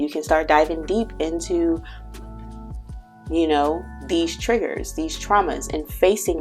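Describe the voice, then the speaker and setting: A woman is speaking. There is music in the background. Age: 20s. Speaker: tarot and astrology reader. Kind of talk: casual spiritual reading talk to camera. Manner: rambling, conversational.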